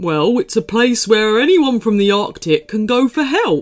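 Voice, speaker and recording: A put-on character voice with a fairly high pitch. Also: moderate pace. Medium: read story. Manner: polite, slightly hesitant.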